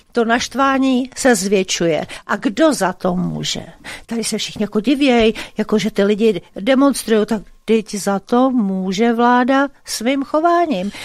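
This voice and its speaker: Against a quiet background with a dry sound and no echo, a woman speaks at a fairly slow pace. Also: fairly high pitch for a woman, ordinary pitch variation. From Czech Republic. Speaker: radio host. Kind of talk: casual chat. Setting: studio. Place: studio.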